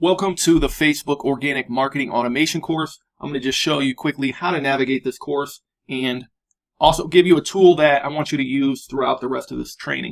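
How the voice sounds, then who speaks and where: Here a man with an unremarkable speaking voice talks fairly quickly at a fairly high pitch, with ordinary pitch variation. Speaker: online course instructor. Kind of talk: tutorial.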